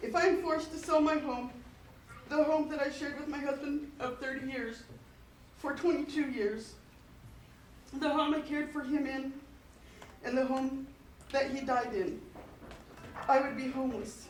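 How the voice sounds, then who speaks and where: A woman with a high voice speaks at a moderate pace, with fairly even intonation. Her speech has long, frequent pauses, and room echo is audible. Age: 50s. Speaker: school district employee, public commenter. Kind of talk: public comment at board meeting. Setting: school board meeting.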